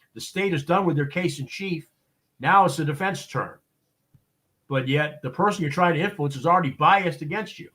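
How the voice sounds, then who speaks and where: The speaker has a Boston accent and ordinary pitch variation. The pace is fairly quick. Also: man, high pitch for a man. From Boston, US. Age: 60s. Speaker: expert witness and consultant. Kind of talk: interview on a live show. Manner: many fillers and repetitions, halting.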